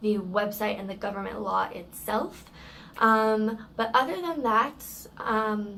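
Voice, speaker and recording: Audible room echo carries a woman's fairly high voice as she speaks at a very slow pace with ordinary pitch variation. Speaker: service dog handler vlogger. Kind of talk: vlog rant. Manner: loud; halting, repeats words.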